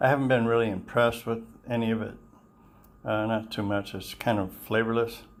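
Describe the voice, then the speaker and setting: A man talks at medium pitch and a moderate pace. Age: 60s. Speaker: vlogger. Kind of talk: casual monologue vlog. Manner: halting, many fillers.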